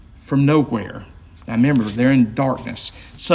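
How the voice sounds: Just a natural reading voice.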